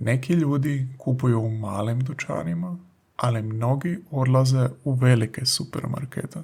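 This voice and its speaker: A man speaks at medium pitch and a fairly slow pace. His voice is somewhat breathy. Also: ordinary pitch variation. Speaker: language teacher podcaster. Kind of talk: language lesson. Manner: slow and clear.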